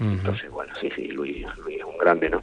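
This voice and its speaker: A man speaks over noticeable background noise. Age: 40s. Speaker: flamenco guitarist and teacher. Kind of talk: radio interview. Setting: phone call.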